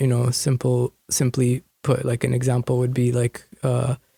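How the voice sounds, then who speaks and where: A man speaks with a Canadian accent and a medium pitch. His voice is somewhat breathy, with a dry, close sound and no echo. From Canada (Fraser Valley, BC); born in India. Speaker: hip-hop and spoken word artist. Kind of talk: interview. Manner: halting.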